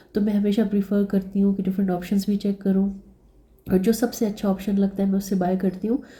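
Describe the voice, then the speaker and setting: A woman speaks at a medium pitch and a moderate pace, somewhat breathy. Her intonation is monotone and flat. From Pakistan. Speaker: vlogger. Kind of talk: casual vlog narration. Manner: conversational, with fillers.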